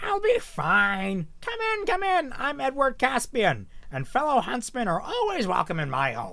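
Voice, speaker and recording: A put-on character voice unfolds at a moderate pace. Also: man. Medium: read story. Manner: hearty, welcoming.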